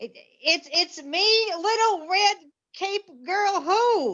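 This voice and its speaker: A woman's put-on character voice, extremely high in pitch, at a very slow pace, with ordinary pitch variation. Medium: stage play. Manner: quavering, halting.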